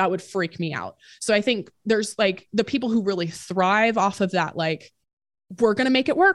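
In a very clean recording with a silent background, a woman has an ordinary speaking voice at a medium pitch, with ordinary pitch variation and a moderate pace. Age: 20s. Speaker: entrepreneur and personal finance podcast host. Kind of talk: casual interview.

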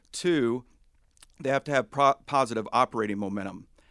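In an ordinary speaking voice with an American accent, a man talks at a fairly quick pace with ordinary pitch variation, in a very clean recording with a silent background and a dry, close sound with no echo. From US South, Huntington, West Virginia. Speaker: portfolio manager. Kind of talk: interview on investing.

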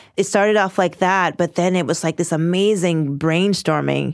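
In a normal speaking voice, a woman with a fairly low pitch talks at a moderate pace with ordinary pitch variation on a very clean recording with a silent background. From US, Washington, D.C. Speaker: lawyer and mediator. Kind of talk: interview.

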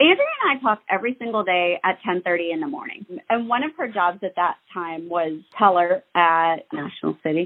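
In an American accent, this is an ordinary speaking voice with lively intonation at a moderate pace. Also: woman, medium pitch for a woman. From Ohio. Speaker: friend of a murder victim. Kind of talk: testimony.

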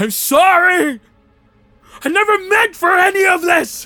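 Shouting in a put-on character voice at an extremely high pitch, the speaker goes at a fairly slow pace. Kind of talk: dramatic fantasy roleplay. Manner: solemn, weary, fatalistic.

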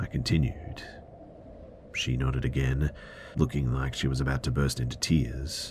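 A man with an Australian accent speaks at a moderate pace with vocal fry. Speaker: podcast narrator. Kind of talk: horror narration; reading listener story aloud.

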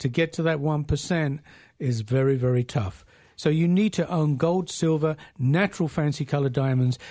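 A man speaks in a plain, everyday voice at a fairly high pitch and moderate pace. His pitch varies in an ordinary way over a quiet background. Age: 60s. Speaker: company president and radio show host. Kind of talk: radio talk show discussion. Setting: studio.

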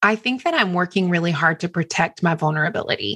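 With an American accent, a woman speaks in a normal speaking voice. Her pitch sits fairly low and her intonation is lively. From US South, small town. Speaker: author and speaker. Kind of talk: interview.

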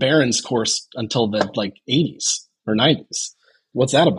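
A man with an American accent sounds somewhat breathy. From Chicago, US Midwest. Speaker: golf club co-founder. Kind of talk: casual chat.

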